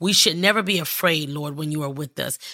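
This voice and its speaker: Over a silent background on a very clean recording, a woman speaks in a bright, sharp tone with ordinary pitch variation. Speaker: prophetess and prayer podcaster. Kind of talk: fervent prayer. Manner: earnest, impassioned, declarative; warm, encouraging.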